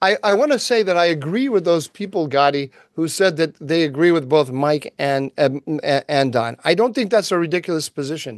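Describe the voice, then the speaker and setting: Against a quiet background, a man talks with an American accent. His pitch is fairly high. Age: 60s. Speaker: podcast co-host, policy analyst. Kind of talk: casual chat. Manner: halting, many ums and restarts.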